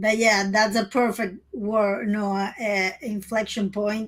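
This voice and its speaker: Speaking with a Spanish accent, a woman talks at a fairly high pitch. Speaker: trading educator. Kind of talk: casual trading webinar discussion.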